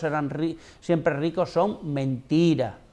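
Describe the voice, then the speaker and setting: A man's fairly high voice has a dark, mellow tone. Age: 60s. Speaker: political commentator. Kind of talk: TV debate panel. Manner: animated.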